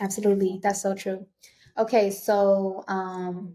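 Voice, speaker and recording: With an American accent, a woman speaks at a medium pitch in a dark, mellow tone. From Los Angeles, US. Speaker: podcast host. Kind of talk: casual interview chat.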